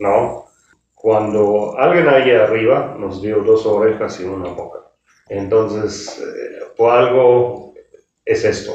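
Big swings in loudness mark this man's speech, delivered at a very slow pace. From Germany. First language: German (speaking Spanish). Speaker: hotel executive. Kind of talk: interview. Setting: hotel.

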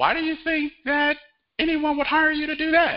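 A man's put-on character voice, extremely high-pitched, at a moderate pace. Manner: doubtful, condescending.

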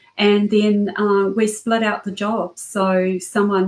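Her intonation stays fairly even. The woman speaks in a New Zealand accent. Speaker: cybersecurity entrepreneur. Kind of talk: interview.

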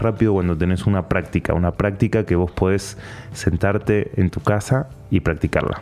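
Over music in the background, a man with an Argentine accent talks at a moderate pace in a fairly low pitch. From Argentina, Patagonia. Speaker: meditation and breathing teacher. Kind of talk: interview.

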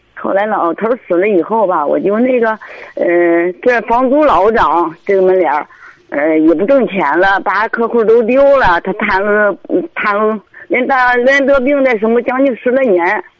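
A woman with a fairly high pitch talks at a fairly slow pace, her intonation lively and her loudness very even, over noticeable background noise. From Hebei, Baoding. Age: 50s. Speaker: caller seeking advice. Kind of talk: radio call-in consultation. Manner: halting, many fillers.

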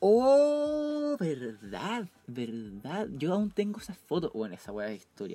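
Talking very slowly, a man with a high pitch and a dark, mellow tone swings very widely in pitch and a lot in loudness. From Chile, Temuco. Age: 20s. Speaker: podcast co-host. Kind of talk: casual chat. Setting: video call.

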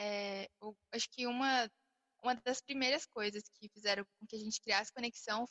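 A woman with an unremarkable speaking voice and a fairly high pitch speaks at a fairly slow pace, her intonation fairly even. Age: young (almost 19). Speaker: podcast co-host, small business owner. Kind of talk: casual chat.

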